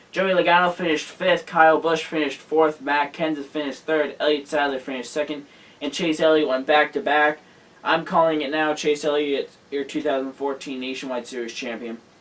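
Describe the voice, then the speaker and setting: With noticeable background noise, a man talks at a fairly quick pace in a fairly high pitch and fairly even intonation. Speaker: motorsports show host. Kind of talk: casual show round-up.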